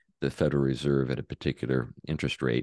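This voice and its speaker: With a very deep, low pitch, a man talks in a dry, close sound with no echo. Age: 60s. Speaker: pastor and author. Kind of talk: interview conversation.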